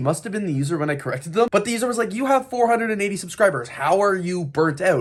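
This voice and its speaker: Loud and very fast, a man with a high pitch makes very wide pitch swings over noticeable background noise. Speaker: LEGO YouTuber. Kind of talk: casual vlog chat. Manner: loud, high energy.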